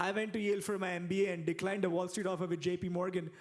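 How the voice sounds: A man's high-pitched voice at a fast pace, with little pitch movement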